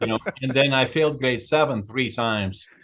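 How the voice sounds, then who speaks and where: At a fairly quick pace, a man with a Dutch accent talks at a medium pitch. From Netherlands. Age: 80s+. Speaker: author and businessman. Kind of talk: interview. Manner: hesitant, many fillers.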